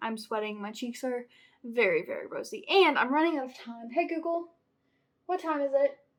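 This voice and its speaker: With lively intonation and an animated tone, a woman talks at a fairly quick pace in a high pitch. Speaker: booktuber vlogger. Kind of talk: casual vlog talk to camera. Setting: at home. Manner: fast.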